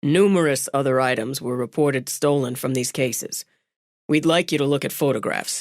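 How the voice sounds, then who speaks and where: A put-on character voice, gravelly and low-to-middle in pitch, delivered at a moderate pace. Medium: read story. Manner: terse, businesslike.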